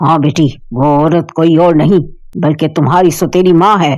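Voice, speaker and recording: A woman does a cartoonish character voice at a fairly low pitch, keeping a moderate pace and fairly even intonation. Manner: warm, paternal.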